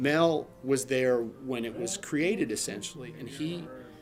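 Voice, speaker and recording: Over music in the background, a man with a Maryland accent speaks at a medium pitch. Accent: Maryland American. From Cambridge, Maryland. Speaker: country musician. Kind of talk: interview answer. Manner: casual.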